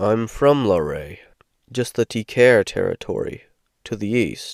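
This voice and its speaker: A man puts on a growling character voice at a medium pitch, speaking at a fairly slow pace. The recording is very clean, with a silent background. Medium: read story. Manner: curt, stern.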